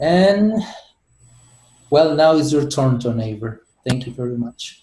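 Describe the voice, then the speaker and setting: A man speaks very slowly with lively intonation. His fairly high voice is dark, mellow and somewhat breathy. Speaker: teacher. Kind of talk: self-introduction in class.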